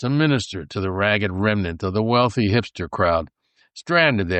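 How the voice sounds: Quiet background behind a natural reading voice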